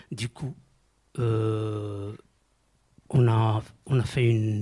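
In a dry, close recording with no echo, a man of medium pitch speaks with a dark, mellow tone, somewhat breathy and with fairly even intonation. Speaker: mosaic artist and art therapist. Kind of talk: radio interview. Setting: studio.

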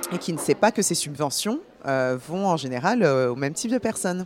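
Speaking at a fairly slow pace, a woman uses lively intonation with a very deep, low pitch. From France, born in Paris. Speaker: actress and film producer. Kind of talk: radio interview.

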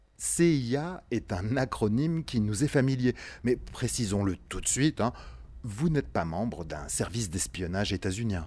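At a fairly slow pace, a man speaks in a medium pitch that moves through very wide swings. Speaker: radio show host. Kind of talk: radio documentary narration.

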